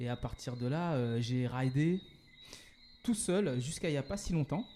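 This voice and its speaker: Ordinary pitch variation and a moderate pace shape the man's dark, mellow tone. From Paris suburbs, France. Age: 40s. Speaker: entrepreneur. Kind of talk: podcast interview. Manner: hesitant, many fillers.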